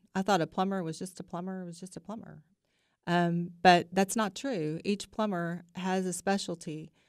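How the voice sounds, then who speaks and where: A woman speaks at a moderate pace with fairly even intonation, in a dry sound with no echo against a quiet background. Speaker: guest. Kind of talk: interview answer. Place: studio. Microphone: studio mic.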